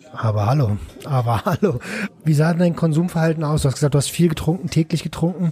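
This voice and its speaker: The speech comes at a very fast pace with ordinary pitch variation and very even loudness. Noticeable background noise sits behind it. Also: man, fairly high pitch for a man. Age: 30s. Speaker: podcast host, recovery helper. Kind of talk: podcast interview.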